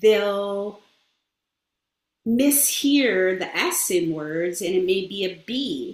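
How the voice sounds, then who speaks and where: Long, frequent pauses break up the woman's speech. Her pace is very slow. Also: medium pitch for a woman, lively intonation. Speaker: speech-language pathologist. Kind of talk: interview. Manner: halting, with fillers.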